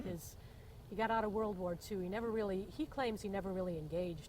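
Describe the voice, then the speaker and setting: A woman with an American accent talks fairly quickly in a dark, mellow, somewhat breathy voice with fairly even intonation. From Indiana, USA. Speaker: Vietnam-era Army nurse. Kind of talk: oral history interview answer. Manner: casual, humorous storytelling.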